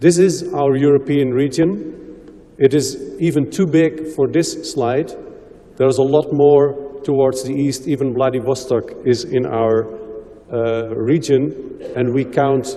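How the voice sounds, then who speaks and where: Noticeable background noise sits behind a man with a fairly high voice. He speaks fairly slowly with fairly even intonation. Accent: Dutch. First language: Dutch. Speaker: health promotion expert. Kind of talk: conference presentation.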